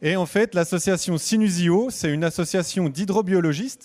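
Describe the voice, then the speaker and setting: A man speaks with a Franche-Comté accent and a high pitch. The recording is very clean, with a silent background. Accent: Franche-Comté regional French. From Franche-Comté, eastern France. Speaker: hydrobiologist giving a public talk. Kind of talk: conference talk. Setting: stage with live audience. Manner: hesitant, many filler sounds.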